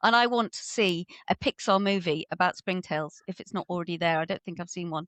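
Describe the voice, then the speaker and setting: A woman with a plain, everyday voice speaks at a fairly quick pace and a fairly low pitch, with ordinary pitch variation and big swings in loudness. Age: 50s. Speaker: ecologist. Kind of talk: casual chat.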